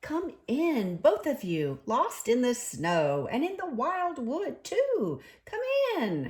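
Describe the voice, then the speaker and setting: A gruff, put-on character voice at a very slow pace. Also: woman, high pitch for a woman. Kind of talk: bedtime story. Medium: read story.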